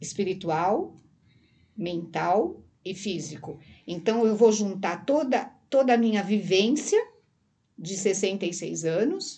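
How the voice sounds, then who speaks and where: A woman's dark, mellow, somewhat breathy medium-pitched voice, very slow, with lively intonation and long, frequent pauses. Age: 60s. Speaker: therapist and hypnosis teacher. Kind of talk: casual interview chat. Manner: halting.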